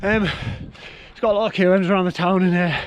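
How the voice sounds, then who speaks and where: Over noticeable background noise, a man with a Yorkshire accent speaks at a high pitch with fairly even intonation. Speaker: vlogger, amateur triathlete. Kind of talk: casual vlog to camera.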